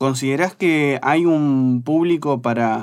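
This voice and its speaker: Very slowly and with fairly even intonation, a man speaks in a very clean recording with a silent background. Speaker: beer magazine journalist. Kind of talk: casual interview.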